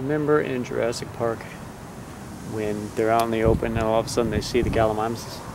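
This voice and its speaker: A man mumbles at a very fast pace and medium pitch in a monotone, flat intonation. Noticeable background noise and audible room echo fill the recording. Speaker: amateur storm videographer. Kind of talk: casual chat. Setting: outdoors. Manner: mumbling.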